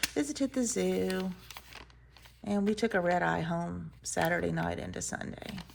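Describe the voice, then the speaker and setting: Noticeable noise runs in the background as a woman with an American accent talks at a moderate speed. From US South, Mobile, Alabama. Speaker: planner and journaling vlogger. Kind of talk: casual chat.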